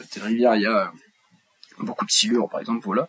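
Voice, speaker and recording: With ordinary pitch variation and a medium pitch, a man delivers his words at a fairly quick pace. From France, Charente. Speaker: company co-founder, podcast co-host. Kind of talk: casual chat. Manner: halting, many repetitions.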